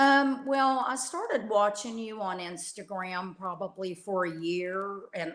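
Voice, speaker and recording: The speaker has a Texan accent. The pace is fairly slow. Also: woman. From Texas. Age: 60s. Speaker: coaching client. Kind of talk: interview. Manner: halting.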